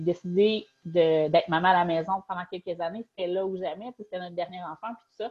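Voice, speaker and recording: A woman in a Quebec accent, with fairly even intonation. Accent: Québécois French. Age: 30s. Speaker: novelist. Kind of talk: interview.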